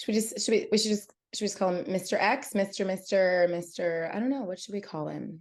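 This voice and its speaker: A woman talks at a fairly quick pace and medium pitch with ordinary pitch variation. Hers is an unremarkable speaking voice, set against a quiet background. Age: 30s. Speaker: podcast guest sharing personal story. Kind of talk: casual interview conversation. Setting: podcast recording.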